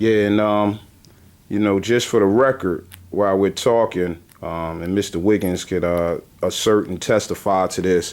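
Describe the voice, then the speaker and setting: An unremarkable speaking voice from a man, fairly low-pitched, at a moderate pace with fairly even intonation, on a very clean recording with a silent background. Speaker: homeowner advocacy organization founder. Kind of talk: interview host talk.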